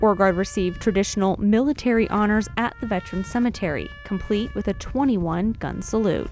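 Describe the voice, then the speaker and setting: A woman speaks at a moderate pace with music in the background. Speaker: TV reporter and anchor. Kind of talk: TV news reporter voiceover.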